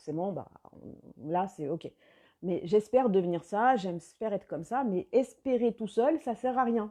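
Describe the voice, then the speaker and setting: A woman with a dark, mellow tone makes very wide pitch swings. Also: quiet background. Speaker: life coach. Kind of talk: live video chat with viewers.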